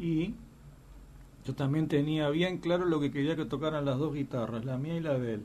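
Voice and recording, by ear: A man talks at a fairly quick pace and a fairly high pitch, his tone dark and mellow and his intonation fairly even.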